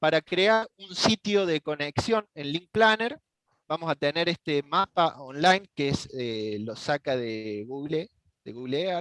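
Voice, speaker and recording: With lively intonation and a high pitch, a man speaks at a very slow pace, the sound dry with no echo against a quiet background. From Argentina. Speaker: network engineer; instructor presenting software. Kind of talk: technical tutorial. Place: home room. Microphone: headset.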